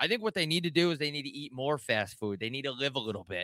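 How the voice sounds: Fast and lively in intonation, a man talks with a bright, sharp tone in a dry, close sound with no echo. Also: medium pitch for a man.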